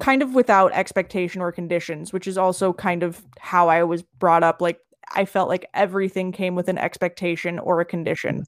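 A woman with an American accent speaks at a moderate pace and medium pitch, in an ordinary speaking voice. The recording is very clean, with a silent background and a dry, close sound with no echo. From Los Angeles and Southern Utah, US. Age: 30s. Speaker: restaurant owner in recovery. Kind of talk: casual interview.

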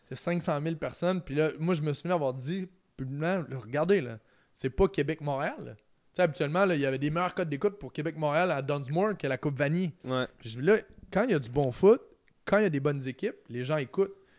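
This is a normal speaking voice at a fairly quick pace. The recording is very clean, with a silent background. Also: man, fairly high pitch for a man, ordinary pitch variation. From Quebec, Trois-Rivières. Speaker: sports analyst and former university football player. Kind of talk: casual interview chat. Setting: home garage studio.

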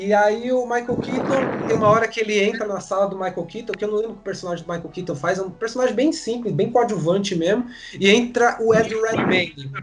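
There's noticeable background noise as a man talks at a fairly quick pace with hardly any pauses, his high voice showing ordinary pitch variation. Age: 30s. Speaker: podcast host. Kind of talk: casual chat.

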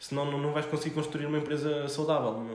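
A man talks very fast in a fairly high pitch, with audible room echo and noticeable background noise. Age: 20s. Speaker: startup founder and CEO. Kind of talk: casual interview chat.

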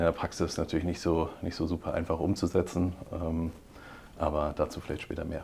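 This man speaks. His pitch is very deep and low. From Heidelberg, Germany. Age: 30s. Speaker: financial sales executive. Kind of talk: podcast interview. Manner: hesitant, many fillers.

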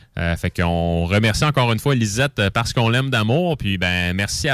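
The sound is dry and close with no echo as a man talks with lively intonation. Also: very even loudness. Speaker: beer columnist. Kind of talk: casual beer review segment. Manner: hesitant, many fillers.

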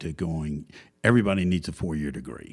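A man is speaking here. He has a Southern US accent. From US South, Georgia. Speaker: company chairman and co-founder. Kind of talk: casual interview conversation. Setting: podcast interview.

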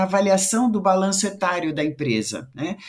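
This woman speaks at a moderate pace with lively intonation. Her voice sits at a medium pitch and sounds somewhat breathy. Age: 50s. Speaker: diversity and inclusion consultant. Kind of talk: casual chat.

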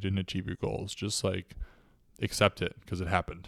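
In an ordinary speaking voice, the words come at a fairly quick pace on a very clean recording with a silent background. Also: man. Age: 20s. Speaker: podcast co-host. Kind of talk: casual chat.

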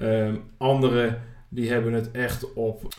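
The voice belongs to a man. The room adds an audible echo. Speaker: podcast host. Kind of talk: personal monologue.

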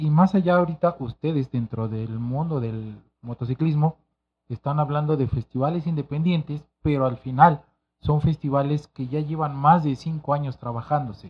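A somewhat breathy male voice, fairly high in pitch, at a moderate pace with ordinary pitch variation. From Mexico City, Santa María de la Ribera. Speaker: music events expert. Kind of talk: casual chat.

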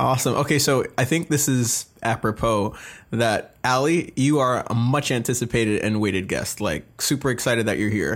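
A man speaks at a moderate pace in an enthusiastic, animated tone, his medium-pitched voice holding very even loudness on a very clean recording with a silent background. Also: ordinary pitch variation. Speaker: podcast host. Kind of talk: casual interview.

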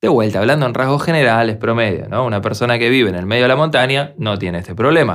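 Very fast and full of lively intonation, a man speaks at medium pitch on a very clean recording with a silent background. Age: 40s. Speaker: music producer and podcast host. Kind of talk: solo podcast monologue.

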